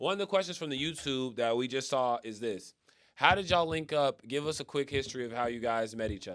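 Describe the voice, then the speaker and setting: In a very clean recording with a silent background, a man speaks at a very fast pace. His tone is animated, with ordinary pitch variation. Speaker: podcast co-host and artist. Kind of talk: casual chat. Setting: livestreamed podcast. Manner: loud.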